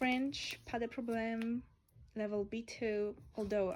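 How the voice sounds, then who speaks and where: A woman speaks at a fairly slow pace in a fairly high pitch. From Poland. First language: Polish. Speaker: lifestyle vlogger. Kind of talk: casual chat.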